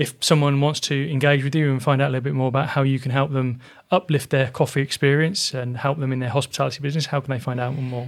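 Very fast speech in a southern English accent comes with monotone, flat intonation. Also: man. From Oxfordshire, England. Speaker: podcast host, business mentor. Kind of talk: interview.

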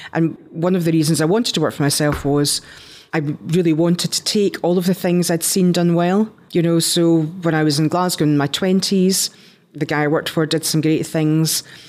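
The loudness stays very even throughout. Intonation is fairly even too. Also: woman, fairly low pitch for a woman, moderate pace. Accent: Scottish. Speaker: entrepreneur, company founder. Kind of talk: interview.

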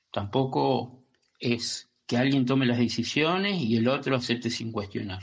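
A man of medium pitch speaks in a plain, everyday voice. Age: 50s. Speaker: listener. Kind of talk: recorded voice message.

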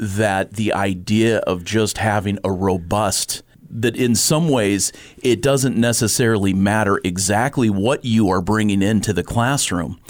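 An ordinary speaking voice moves at a fairly slow pace. Pitch varies in an ordinary way while loudness stays very even. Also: man, fairly low pitch for a man. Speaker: podcast engineer and host. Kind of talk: interview.

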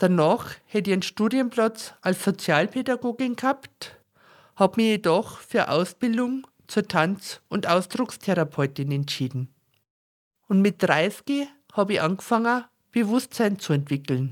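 On a very clean recording with a silent background, a woman speaks in a strong Bavarian accent with very wide pitch swings and very even loudness. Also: medium pitch for a woman, fairly slow pace. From Upper Bavaria, Germany. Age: 50s. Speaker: podcast host and personal development coach. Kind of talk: personal monologue. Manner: irregular pauses.

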